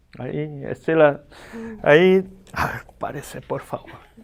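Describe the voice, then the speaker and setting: Speaking at a very slow pace, the voice carries a slight Argentine accent. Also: man. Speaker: pastor and teacher. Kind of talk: lecture. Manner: animated.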